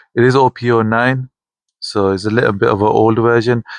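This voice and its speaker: In a dry, close recording with no echo and a quiet background, a man mumbles at a moderate pace with fairly even intonation. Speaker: wrestling vlogger. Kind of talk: casual vlog talk. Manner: mumbling.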